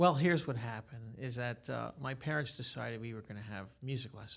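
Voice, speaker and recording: A man with a New York accent speaks at a moderate pace in a medium pitch. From New York City, Staten Island. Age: 60s. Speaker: guitarist and music teacher. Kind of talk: interview. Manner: talkative.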